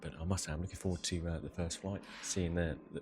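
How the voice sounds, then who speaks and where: A man with a very deep, low pitch talks in a somewhat breathy voice with monotone, flat intonation. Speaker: travel vlogger. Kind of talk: casual travel vlog. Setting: airport lounge. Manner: hesitant, many fillers.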